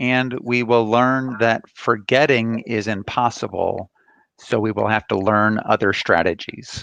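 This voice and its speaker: In an American accent, an ordinary speaking voice talks at a fairly slow pace with fairly even intonation. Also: man, medium pitch for a man. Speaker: counseling professor. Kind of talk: lecture.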